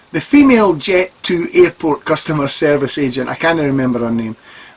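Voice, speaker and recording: Someone with a Scottish accent speaks at a moderate pace over noticeable background noise. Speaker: vlogger. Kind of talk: personal commentary.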